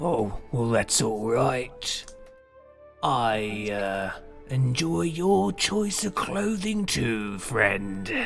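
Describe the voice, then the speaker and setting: Over clear music in the background, a man puts on a character voice at medium pitch, speaking very slowly. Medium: actual play. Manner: relaxed, amiable.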